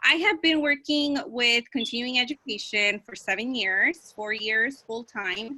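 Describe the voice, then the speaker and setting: In a Spanish accent, the speaker talks at a fairly slow pace with ordinary pitch variation. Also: woman. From Mexico. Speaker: school counselor. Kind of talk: class presentation.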